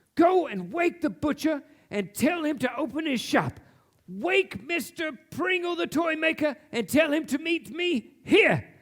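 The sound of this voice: Putting on a character voice, a man speaks at an extremely high pitch and a fairly slow pace, with a fairly bright tone, lively intonation and few pauses.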